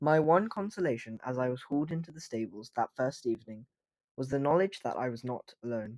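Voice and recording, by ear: Reading aloud in a natural voice, the speaker has lively intonation. The background is quiet.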